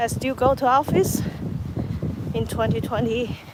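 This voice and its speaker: Fairly slow speech with a Chinese accent amid noticeable background noise. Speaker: vlogger. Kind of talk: walking vlog narration. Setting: outdoors. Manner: halting.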